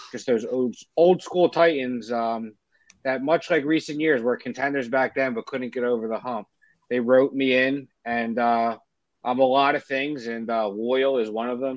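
This man has a Philadelphia accent and a medium pitch. He speaks at a moderate pace with fairly even intonation. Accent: Philadelphia-area American. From South Jersey, near Philadelphia. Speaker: sports podcast co-host. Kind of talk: casual chat.

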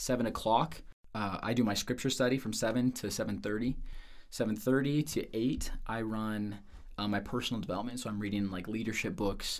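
A man with an American accent speaks at a fairly quick pace, in a medium pitch with fairly even intonation. His is an ordinary speaking voice. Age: 20s. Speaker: sales manager. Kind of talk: casual interview.

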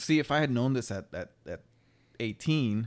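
A man with an ordinary speaking voice, medium pitch and ordinary pitch variation, in a very clean recording with a silent background. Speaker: single parent. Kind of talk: casual chat.

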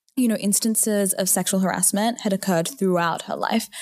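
Fairly quick and fairly even in intonation, a woman speaks with an Australian accent at a medium pitch. The recording is very clean, with a silent background. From Australia, Newcastle. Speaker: student and women's rights activist. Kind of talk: casual discussion.

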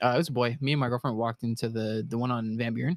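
A man speaks fairly quickly in a normal speaking voice, with ordinary pitch variation. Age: 20s. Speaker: podcast guest. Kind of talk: casual chat.

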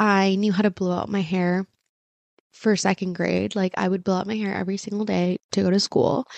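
A woman with a Californian accent at a medium pitch and a fairly quick pace. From Orange County, California. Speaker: podcast host and content creator. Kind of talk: casual monologue. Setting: home video recording set. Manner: animated.

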